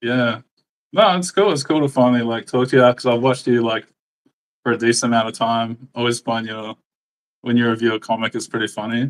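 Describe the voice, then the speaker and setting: Someone with an Australian accent talks at a fairly quick pace with long, frequent pauses, in a dry, close sound with no echo. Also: man, medium pitch for a man. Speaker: comic artist. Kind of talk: casual chat. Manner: halting.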